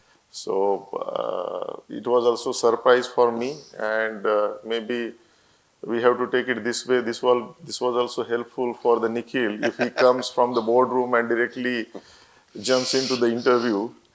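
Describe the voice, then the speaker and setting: A man with a Marathi accent talks at a fairly slow pace in a medium pitch. His intonation is monotone and flat. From India, Marathwada region of Maharashtra (Parli). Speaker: company founder and CEO. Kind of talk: interview on stage. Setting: auditorium with student audience. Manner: hesitant, many fillers.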